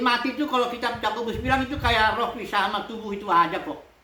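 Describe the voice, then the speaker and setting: A woman's high voice with ordinary pitch variation at a very fast pace, plus audible room echo and noticeable background noise. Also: hardly any pauses. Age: 60s. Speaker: pastor. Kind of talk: sermon. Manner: casual.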